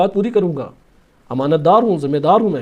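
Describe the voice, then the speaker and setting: A man speaks in a dark, mellow tone with very wide pitch swings. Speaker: Shia religious scholar giving a sermon. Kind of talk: religious lecture explaining Quran verses and narrations.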